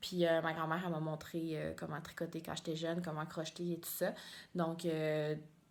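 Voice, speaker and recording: A woman with a Quebec accent speaks at a moderate pace in a fairly low pitch. Her intonation is monotone and flat. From Quebec, Mauricie near Trois-Rivières. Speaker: knitting podcaster, biologist. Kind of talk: casual vlog monologue. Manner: hesitant, many fillers and repetitions.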